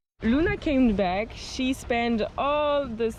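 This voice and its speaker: A woman with a French accent speaks with lively intonation. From France. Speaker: sailing vlogger. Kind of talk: casual vlog narration. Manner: halting.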